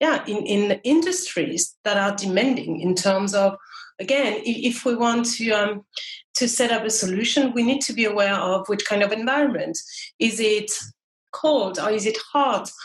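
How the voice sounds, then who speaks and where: Speaking with a French accent, a woman uses fairly high pitch, ordinary pitch variation and a moderate pace. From France. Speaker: marketing manager. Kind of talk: interview. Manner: halting.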